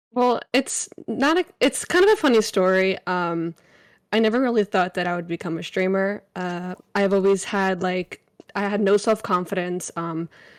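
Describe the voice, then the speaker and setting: A woman with an ordinary speaking voice talks at a moderate pace and medium pitch, with ordinary pitch variation. The recording is very clean with a silent background, dry and close with no echo. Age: 20s. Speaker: variety streamer and college student. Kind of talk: interview. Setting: live stream with chat.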